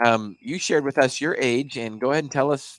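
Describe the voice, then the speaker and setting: This man has an ordinary speaking voice, fairly high in pitch with ordinary pitch variation. He talks at a fairly quick pace on a very clean recording with a silent background. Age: 50s. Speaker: podcast host. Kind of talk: casual interview. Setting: studio.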